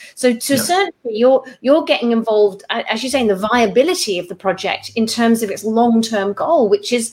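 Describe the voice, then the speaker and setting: A British accent, with hardly any pauses in the speech. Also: woman. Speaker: property investment podcast host and mentor. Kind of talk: interview on a call. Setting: call.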